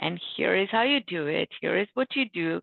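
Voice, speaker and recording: A woman speaks with a Bengali accent. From India. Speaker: book author, IT manager. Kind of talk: panel talk, personal story.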